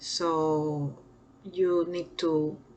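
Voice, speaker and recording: A woman speaks with a Peruvian accent and a fairly low pitch. Her intonation stays fairly even. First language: Spanish. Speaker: nursing lecturer. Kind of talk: lecture. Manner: halting with fillers.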